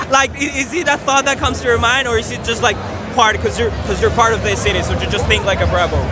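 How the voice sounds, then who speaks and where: A man talks very fast with a Spanish accent. Music plays in the background, and there is audible room echo. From Mexico. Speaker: sports channel interviewer. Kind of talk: street interview. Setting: outdoors at a ballpark.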